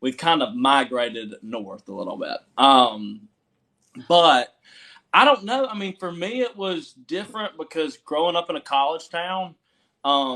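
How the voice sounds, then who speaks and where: With a Southern accent, a man talks at a fairly slow pace in a high, bright, sharp voice that swings very widely in pitch. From US South, Georgia (Milledgeville). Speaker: country musician. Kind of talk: casual interview chat.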